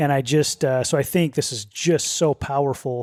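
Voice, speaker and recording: An ordinary speaking voice from a man, fairly high in pitch, moderate in pace and fairly even in intonation, dry and close with no echo on a very clean recording with a silent background. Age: 40s. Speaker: podcast co-host. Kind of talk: casual chat.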